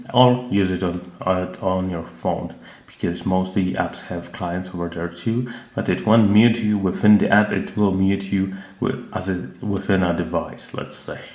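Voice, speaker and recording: A man with a non-native accent and a very deep, low pitch speaks amid audible room echo and noticeable background noise. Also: ordinary pitch variation, fairly slow pace. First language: not English. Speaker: tech reviewer. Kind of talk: product review. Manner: hesitant, many filler sounds.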